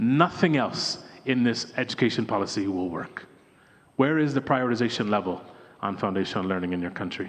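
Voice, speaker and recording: There is audible room echo as a man speaks in an animated tone. He talks fairly quickly, with very wide pitch swings. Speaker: education development expert, former teacher. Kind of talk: conference keynote speech. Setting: stage with audience at conference. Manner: animated, engaging the audience.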